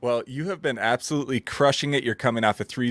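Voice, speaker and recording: In a strong Minnesotan accent, a man speaks with ordinary pitch variation. The recording is very clean, with a silent background. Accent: thick Minnesota. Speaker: podcast host. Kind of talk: interview.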